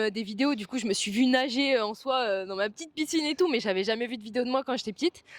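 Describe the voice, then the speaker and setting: Against noticeable background noise, a woman talks fairly quickly in a high pitch with ordinary pitch variation, and the sound is dry and close with no echo. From France, Provence. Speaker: athlete. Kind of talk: interview. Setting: sports training centre.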